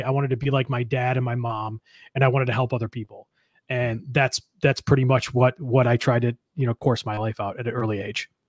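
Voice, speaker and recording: Heard in a dry, close sound with no echo, a man with an American accent speaks very fast in a somewhat breathy voice at medium pitch. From Western New York (Buffalo area). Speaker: entrepreneur and business mentor. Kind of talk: interview.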